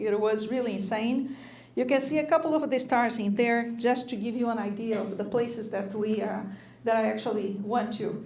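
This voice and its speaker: A woman with a fairly high pitch speaks at a moderate pace with fairly even intonation. Room echo is audible. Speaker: lecturer at a church. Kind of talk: lecture. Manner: hesitant, many fillers.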